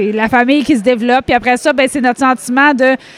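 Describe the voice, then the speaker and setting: Clearly audible background noise accompanies a woman whose voice is high-pitched. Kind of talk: casual interview chat. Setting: at world championships in Ireland.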